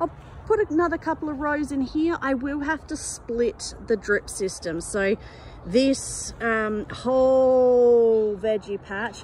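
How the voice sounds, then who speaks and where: A woman speaks very slowly at a high pitch, her intonation lively. The sound is dry with no echo, with light background noise. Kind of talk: casual vlog chat. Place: garden. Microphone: phone near.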